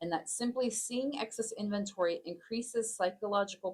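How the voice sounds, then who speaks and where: With a Texas accent, a woman talks at a moderate pace and with lively intonation. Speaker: podcast co-host. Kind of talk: casual discussion.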